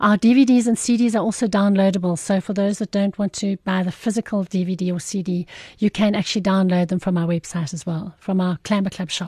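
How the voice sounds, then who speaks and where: The voice is very fast with hardly any pauses, somewhat breathy, with a dark, mellow tone, fairly even intonation, and a dry, close sound with no echo. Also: woman, medium pitch for a woman, quiet background. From South Africa, Irene near Pretoria. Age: 50s. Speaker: occupational therapist and business founder. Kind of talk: casual interview.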